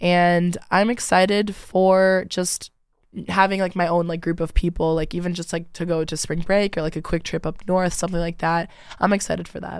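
A woman with a Midwestern American accent, fairly low in pitch, monotone and flat, at a moderate pace in a very clean recording with a silent background. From Michigan (Rochester Hills). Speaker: college student. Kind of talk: casual interview.

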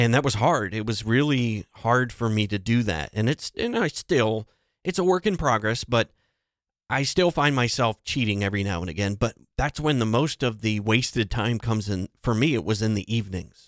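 A man's medium-pitched voice at a moderate pace with lively intonation, dry and close with no echo, in a very clean recording with a silent background. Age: 40s. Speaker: podcast host and entrepreneur. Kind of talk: solo monologue podcast. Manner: halting.

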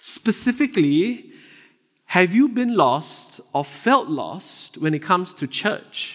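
The speaker has a Singaporean accent and a very slow pace. The pitch swings very widely. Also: man, high pitch for a man. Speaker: associate pastor. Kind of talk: sermon. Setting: church.

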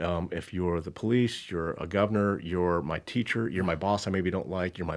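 With a quiet background, a man with a very deep, low pitch talks at a very fast pace with ordinary pitch variation. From Southern California. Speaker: human resources executive. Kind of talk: casual interview.

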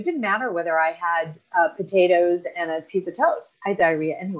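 With an American accent, a woman speaks in an ordinary speaking voice at a fairly low pitch. Her pace is fairly quick, with ordinary pitch variation. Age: 50s. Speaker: fitness coach and veteran. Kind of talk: casual interview chat.

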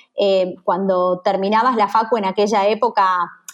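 A woman with a Rioplatense accent at medium pitch, speaking at a fairly slow pace over a quiet background. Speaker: business executive. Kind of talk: interview.

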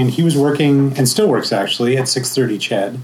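Fairly quick speech from a man at a fairly high pitch, ordinary pitch variation, and noticeable background noise. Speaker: podcaster, co-host. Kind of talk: panel talk.

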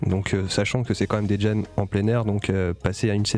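Noticeable background noise surrounds a man whose pitch is fairly low for a man. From Paris. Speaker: jazz pianist and composer. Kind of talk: interview.

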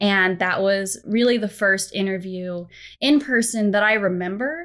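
An ordinary speaking voice moves at a moderate pace with ordinary pitch variation over a very clean recording and a silent background. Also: woman. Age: 30s. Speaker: storyteller at a software company. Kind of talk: interview conversation.

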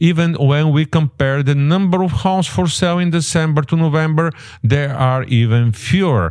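Speaking at a moderate pace with very even loudness, a man with a non-native accent has a fairly high pitch and ordinary pitch variation. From immigrant, non-English-speaking country. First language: not English. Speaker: realtor and podcast host. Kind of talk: podcast market report and interview. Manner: halting, many fillers and restarts.

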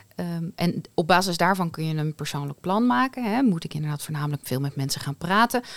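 A woman with an unremarkable speaking voice talks at a fairly low pitch with lively intonation, at a fairly quick pace with hardly any pauses. The recording is very clean over a silent background, with a dry, close sound with no echo. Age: 40s. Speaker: podcast host, HR and leadership in healthcare. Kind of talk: casual chat.

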